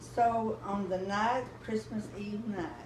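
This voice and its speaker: A woman with a Texan accent, heard through audible room echo and noticeable background noise. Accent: Texan Southern US. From Texas, Commerce. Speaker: grandmother telling family history. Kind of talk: oral history storytelling.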